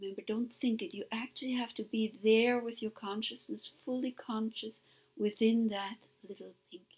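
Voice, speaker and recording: The voice has a soothing tone and is somewhat breathy. It moves at a moderate pace with fairly even intonation. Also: woman, fairly high pitch for a woman. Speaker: meditation guide. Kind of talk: guided meditation. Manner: soothing, hypnotic.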